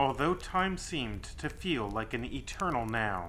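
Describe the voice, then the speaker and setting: The speaker talks at a fairly slow pace. Background noise is noticeable. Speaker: horror story author. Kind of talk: horror story narration.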